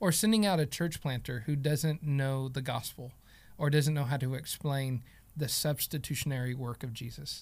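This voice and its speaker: A man with an American accent speaks at a moderate pace, somewhat breathy. Pitch variation is ordinary on a very clean recording with a silent background. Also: fairly high pitch for a man. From Oklahoma. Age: 30s. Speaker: theology teacher, pastor. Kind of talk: casual chat.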